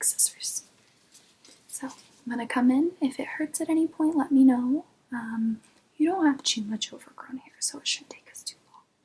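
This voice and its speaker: Whispering and soft-spoken, a woman talks at a moderate pace with big swings in loudness. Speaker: ASMR artist doing a brow-styling roleplay. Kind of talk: ASMR roleplay, salon receptionist and brow stylist talking to the viewer. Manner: whispered, soft-spoken.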